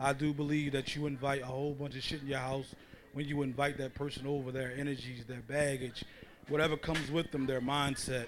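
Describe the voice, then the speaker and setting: A man's fairly high voice stays monotone and flat while he talks at a fairly quick pace. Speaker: panelist. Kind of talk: heated panel debate.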